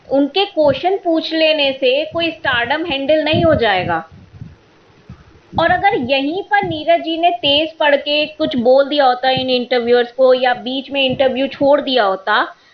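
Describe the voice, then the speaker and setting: A woman speaks at a high pitch, her intonation lively, with noticeable background noise behind her. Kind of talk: podcast monologue. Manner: opinionated, irritated.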